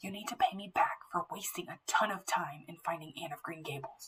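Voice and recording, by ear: A put-on character voice, female-sounding, moves at a fairly quick pace. It alternates between whispering and growling.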